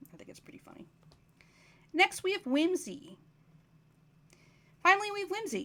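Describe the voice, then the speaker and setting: With an extremely high pitch and a bright, sharp tone, a woman uses a raised, projected voice, ordinary pitch variation, and long, frequent pauses. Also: big swings in loudness. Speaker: folklorist. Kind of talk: recorded conference presentation. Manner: fast.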